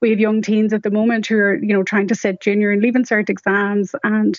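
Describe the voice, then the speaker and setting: Amid noticeable background noise, a woman with a Donegal accent speaks very fast at medium pitch. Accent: Donegal Irish. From Donegal, Ireland. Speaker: patient advocate and medical scientist. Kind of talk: radio interview. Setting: phone line.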